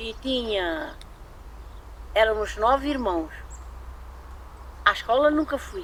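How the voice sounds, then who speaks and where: A woman speaks at a very slow pace with a high voice and very wide swings in pitch. Her long pauses come often, and background noise is noticeable. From Portugal, Alentejo (Arraiolos). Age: 80s+. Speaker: retired farm worker. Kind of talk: interview testimony.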